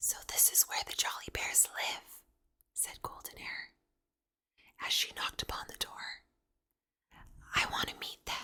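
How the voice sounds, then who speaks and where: The voice is whispering in a calm tone. Long, frequent pauses break up the speech. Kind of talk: whispered bedtime story reading. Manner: whispered, calm, slow.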